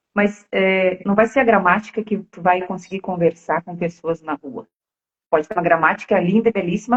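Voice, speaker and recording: A somewhat breathy voice with a strong Rio Grande do Sul accent, at a moderate pace, with ordinary pitch variation and big swings in loudness. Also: woman. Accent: strong gaúcho (Rio Grande do Sul). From Rio Grande do Sul, Brazil. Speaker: co-host of English conversation project. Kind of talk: casual chat on live stream. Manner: animated.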